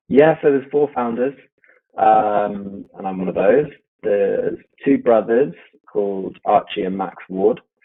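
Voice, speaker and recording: A man's normal speaking voice at medium pitch, with ordinary pitch variation and a fairly slow pace. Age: 30s. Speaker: drinks brand founder. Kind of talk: interview.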